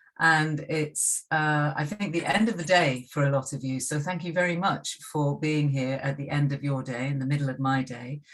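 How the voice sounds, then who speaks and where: A British accent with hardly any pauses. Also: woman, very deep, low pitch for a woman, ordinary pitch variation, moderate pace. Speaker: university lecturer. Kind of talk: lecture.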